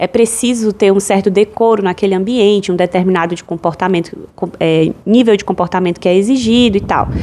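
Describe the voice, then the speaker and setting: Using a plain, everyday voice, a woman speaks at a moderate pace and medium pitch with fairly even intonation. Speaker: podcast host. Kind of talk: solo podcast monologue.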